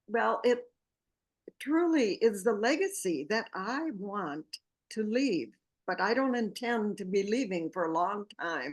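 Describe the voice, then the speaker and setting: A woman with a fairly high pitch speaks at a fairly slow pace, her voice rising and falling in very wide swings. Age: 80s+. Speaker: book project founder. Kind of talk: interview.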